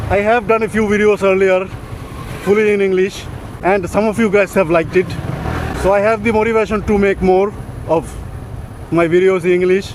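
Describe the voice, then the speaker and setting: High-pitched for a man, he talks at a fairly quick pace in a monotone, flat intonation and very even loudness. Long, frequent pauses break up his speech, with noticeable background noise behind it. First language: Bengali. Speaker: motovlogger. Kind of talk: casual vlog monologue.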